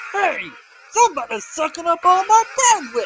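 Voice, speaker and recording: Pitched extremely high, the cartoonish character voice keeps to a moderate pace. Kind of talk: fan voice-over of a web cartoon. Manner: slick, folksy, scheming.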